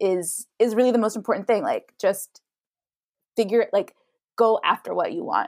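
Pausing long and often, a woman with an American accent speaks at a moderate pace and fairly high pitch with lively intonation. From Idaho. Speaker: actor and model. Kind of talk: casual chat.

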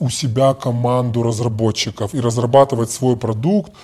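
The voice is somewhat breathy with a dark, mellow tone. It moves at a moderate pace. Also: man. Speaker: bank executive and lecturer. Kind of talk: casual interview. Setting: remote call. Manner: halting, with many repetitions.

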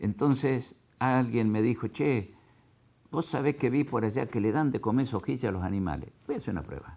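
A man talks at a moderate pace in a medium pitch. His tone is dark and mellow, edged with vocal fry. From Argentina, southern Santa Fe (Venado Tuerto). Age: 60s. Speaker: agricultural equipment businessman and cattle farmer. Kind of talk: interview. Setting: his factory.

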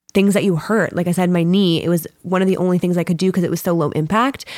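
A woman with an ordinary speaking voice talks at a fairly low pitch, keeping her intonation fairly even. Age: 30s. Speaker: yoga teacher. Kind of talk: casual chat.

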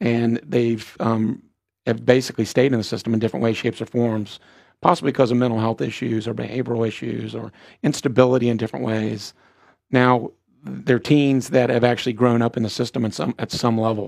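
A man speaks with an unremarkable speaking voice at a medium pitch. His pace is fairly quick and his intonation fairly even. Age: 40s. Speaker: nonprofit executive. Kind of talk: interview. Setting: studio.

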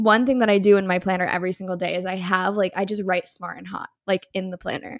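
A woman with an American accent speaks at medium pitch on a very clean recording with a silent background. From New York. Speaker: podcast host. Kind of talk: casual chat. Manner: animated.

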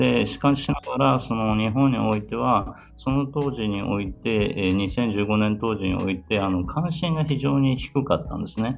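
A man's fairly low voice with lively intonation, a moderate pace and hardly any pauses, over music in the background. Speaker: ambassador. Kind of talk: interview. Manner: formal.

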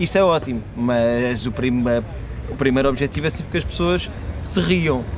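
A man at medium pitch speaks with lively intonation at a moderate pace, with audible room echo and noticeable background noise. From Portugal. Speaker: comedian. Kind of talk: casual chat.

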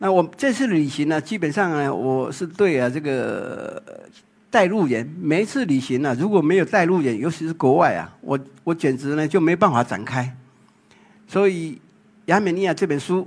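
At a moderate pace, a man with a Taiwanese accent speaks at a fairly high pitch with lively intonation. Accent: Taiwanese Mandarin. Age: 60s. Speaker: photographer. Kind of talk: public talk.

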